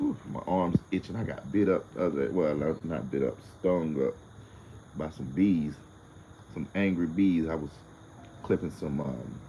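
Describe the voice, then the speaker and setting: With a very deep, low pitch and ordinary pitch variation, a man talks at a moderate pace in a dark, mellow tone, with vocal fry and long, frequent pauses. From United States. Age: 40s. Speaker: livestreamer. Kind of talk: casual livestream chat. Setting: live stream. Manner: animated.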